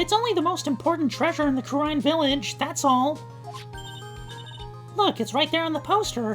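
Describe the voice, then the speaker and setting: Set against clear background music, a put-on character voice speaks high and at a moderate pace, with long, frequent pauses. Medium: virtual streamer. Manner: energetic, chatty.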